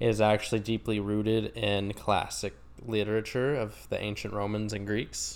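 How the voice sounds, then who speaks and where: This man has a normal speaking voice with an American accent and a fairly low pitch. He talks at a moderate pace with fairly even intonation. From rural Oklahoma. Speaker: podcast co-host. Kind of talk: casual chat.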